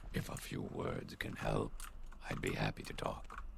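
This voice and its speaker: A man performs in a put-on character voice at a moderate pace. Loud background noise fills the recording. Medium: video game. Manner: flat, clipped.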